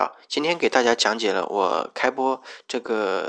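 Against a quiet background, a man talks at a fairly slow pace with medium pitch and ordinary pitch variation. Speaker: podcast host. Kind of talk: personal monologue. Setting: rented room at home. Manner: hesitant, many filler sounds.

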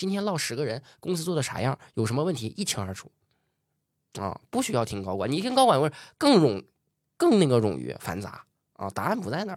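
At a fairly quick pace, a man with a fairly high pitch, vocal fry, an animated tone and very wide pitch swings talks with long, frequent pauses in a very clean recording with a silent background. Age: 20s. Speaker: entrepreneur. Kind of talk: interview.

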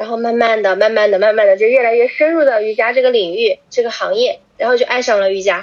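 A woman with a fairly high voice speaks very fast with hardly any pauses and ordinary pitch variation. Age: 20s. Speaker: yoga teacher. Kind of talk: casual chat.

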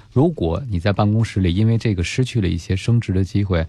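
A man talks fairly quickly in a dark, mellow tone. His voice is somewhat breathy, with ordinary pitch variation. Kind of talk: radio advice show. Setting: studio.

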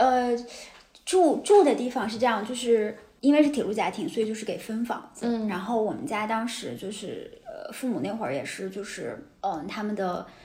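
A woman with a fairly high pitch speaks at a moderate pace with lively intonation and big swings in loudness, over noticeable background noise and audible room echo. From Taiyuan, Shanxi, northern China. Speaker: writer and city observer, host's colleague. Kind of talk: casual chat.

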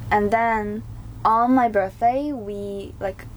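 Over noticeable background noise, a woman speaks with a Chinese accent. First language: Mandarin Chinese. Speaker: student. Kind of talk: casual chat; reading aloud.

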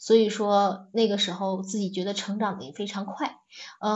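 A somewhat breathy woman's voice with a fairly high pitch. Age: 40s. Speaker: teacher turned manager. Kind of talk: personal reflection talk. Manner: halting, many fillers.

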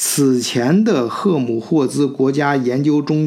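A man talks very slowly at a fairly high pitch with ordinary pitch variation, with noticeable background noise behind him. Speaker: podcast host. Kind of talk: solo podcast monologue. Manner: casual with many fillers.

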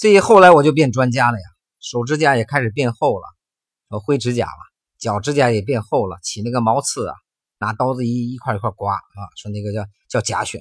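On a very clean recording with a silent background, a man with a medium pitch speaks at a fairly quick pace, somewhat breathy and animated, with lively intonation. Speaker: health podcast host. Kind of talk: personal storytelling monologue.

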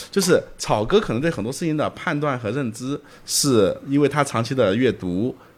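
Speaking at a moderate pace with lively intonation, a man has a plain, everyday voice, fairly high in pitch, on a very clean recording with a silent background. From Zhejiang, China. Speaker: entrepreneur, company executive director. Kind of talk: casual interview conversation. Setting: late-night recording.

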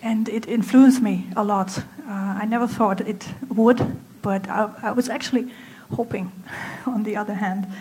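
With noticeable background noise behind her, a woman speaks at a moderate pace in a fairly high pitch with fairly even intonation. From Germany. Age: 30s. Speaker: apparel designer. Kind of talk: speech. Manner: halting.

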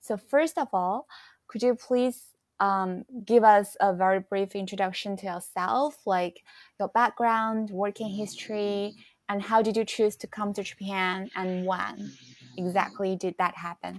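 In a dry, close sound with no echo and a very clean recording with a silent background, a woman of medium pitch speaks with a Chinese accent at a fairly slow pace and fairly even intonation. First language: Mandarin Chinese. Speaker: podcast host. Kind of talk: casual chat. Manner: halting.

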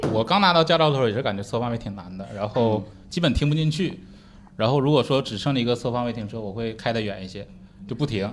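With audible room echo, a man at medium pitch speaks very fast with lively intonation. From Northeast China. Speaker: stand-up comedian. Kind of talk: casual chat. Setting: stage with audience.

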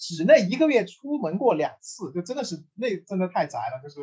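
Speaking at a fairly quick pace, a man uses a high voice with very wide pitch swings. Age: 30s. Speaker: podcast host, game industry. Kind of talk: casual chat.

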